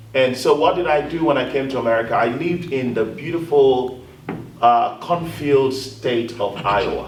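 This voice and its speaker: A man talks at a moderate pace with a medium pitch and ordinary pitch variation. Audible room echo and noticeable background noise surround him. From Africa. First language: African language, not English. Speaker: panelist, communications advisor. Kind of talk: panel discussion.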